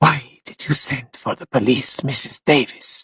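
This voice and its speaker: A put-on character voice with a hissing quality sits at a low-to-middle pitch and moves at a moderate pace. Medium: read story. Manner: malignant.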